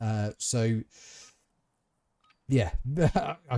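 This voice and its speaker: Very slowly, a man with a medium-pitched voice and a dark, mellow tone speaks with lively intonation. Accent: English. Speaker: gaming streamer. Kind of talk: casual gameplay commentary. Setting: live stream.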